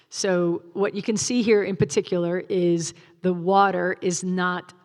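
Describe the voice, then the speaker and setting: On a very clean recording with a silent background, a woman speaks in an ordinary speaking voice. Her pitch is medium and her intonation fairly even. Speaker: wildlife agency field supervisor giving a talk. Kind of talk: public presentation with slides. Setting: stage with live audience, also streamed.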